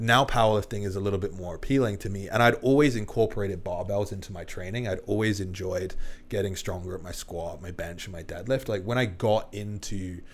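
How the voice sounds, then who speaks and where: A man's fairly low, somewhat breathy voice at a fairly quick pace, with hardly any pauses, ordinary pitch variation and big swings in loudness. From England. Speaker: online fitness coach. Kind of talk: casual chat. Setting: studio.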